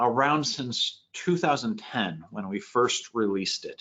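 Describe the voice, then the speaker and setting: With an ordinary speaking voice at medium pitch, a man talks at a fairly slow pace with lively intonation. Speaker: software trainer. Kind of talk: webinar tutorial. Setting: webinar.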